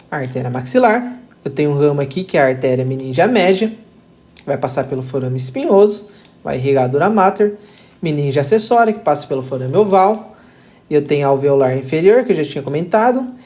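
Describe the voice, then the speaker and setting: Lively intonation marks this man's fairly high-pitched voice. He keeps up a fairly quick pace. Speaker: anatomy tutor. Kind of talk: tutorial.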